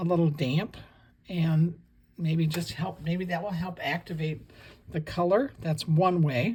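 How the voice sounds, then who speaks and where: Her voice fairly low and somewhat breathy with a dark, mellow tone, a woman talks at a fairly slow pace with ordinary pitch variation. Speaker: watercolor painting teacher. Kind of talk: tutorial. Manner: soft-spoken; relaxed, conversational.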